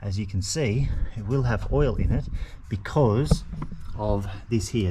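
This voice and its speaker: There is noticeable background noise as a man speaks with an Australian accent. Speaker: mechanic video host. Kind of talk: tutorial. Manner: fast; casual.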